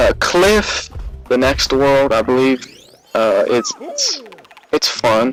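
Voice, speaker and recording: Over music in the background, a man speaks at a very slow pace with very even loudness and long, frequent pauses. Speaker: gaming video commentator. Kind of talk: let's play commentary. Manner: halting, repeats words and stutters.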